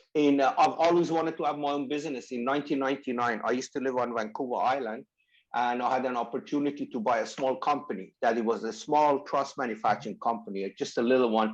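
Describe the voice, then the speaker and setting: A man with a Persian accent talks at a very fast pace in a medium pitch. His pitch varies in an ordinary way, and the background is quiet. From Iran. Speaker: company founder. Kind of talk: interview.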